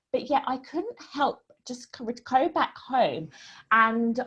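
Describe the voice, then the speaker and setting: In a British accent, a woman talks at a fairly slow pace with a high pitch. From UK. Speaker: women's hormone coach. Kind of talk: online talk / webinar presentation. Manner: casual, many fillers.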